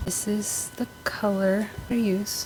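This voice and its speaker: There is noticeable background noise behind this woman. Her medium-pitched voice has a monotone, flat intonation. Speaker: beauty vlogger. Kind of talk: casual chat.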